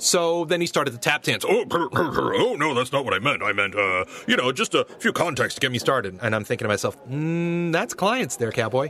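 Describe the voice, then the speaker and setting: A man's fairly high voice with vocal fry, very wide pitch swings, very even loudness and hardly any pauses. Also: fairly quick pace. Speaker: voice actor. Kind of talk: reading aloud.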